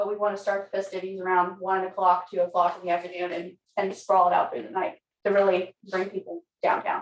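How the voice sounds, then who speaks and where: This woman talks at a very fast pace in a medium pitch. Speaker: city council member. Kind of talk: public meeting.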